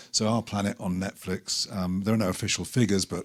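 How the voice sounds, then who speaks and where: A man with a British accent speaks at a fairly quick pace, his intonation fairly even. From Britain. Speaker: documentary filmmaker. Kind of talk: panel talk presentation. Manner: halting, many fillers.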